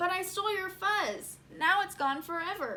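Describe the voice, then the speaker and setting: Loud and at an extremely high pitch, a put-on character voice talks at a moderate pace. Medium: read story. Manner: loud, barking.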